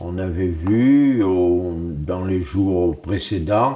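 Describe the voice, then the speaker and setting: The man's voice is very deep and low in pitch, somewhat breathy and dark and mellow in tone, with ordinary pitch variation. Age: 80s+. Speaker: witness of wartime events. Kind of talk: testimony. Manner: halting.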